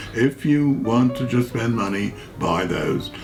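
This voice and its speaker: A man's fairly low voice at a moderate pace over background music. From New York. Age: 80s+. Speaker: cook. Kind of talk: cookery demonstration.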